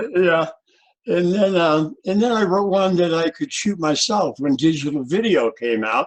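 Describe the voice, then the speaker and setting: Speaking with lively intonation and very even loudness, a man with a high pitch keeps a moderate pace. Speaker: presidential candidate. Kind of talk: interview.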